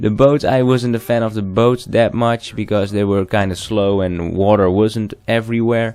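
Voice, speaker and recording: A man with a non-native accent, fairly low pitch and fairly even intonation, at a moderate pace with hardly any pauses, on a very clean recording with a silent background. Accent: non-native English, trouble with th sound. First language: not English. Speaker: gaming commentator. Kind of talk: gaming commentary monologue. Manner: halting, frequent false starts and fillers.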